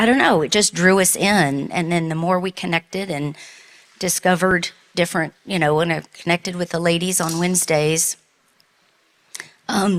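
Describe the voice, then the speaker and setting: A woman with a Southern US accent speaks at a fairly low pitch and a moderate pace, pausing long and often. Her intonation is fairly even, and the sound is dry and close with no echo. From US South. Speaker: church member, relief volunteer. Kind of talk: testimony. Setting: church.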